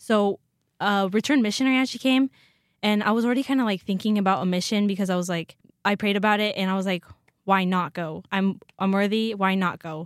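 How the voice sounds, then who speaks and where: A woman's medium-pitched voice at a fairly quick pace, in a very clean recording with a silent background and a dry, close sound with no echo. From north central Washington. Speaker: university student. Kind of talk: casual interview.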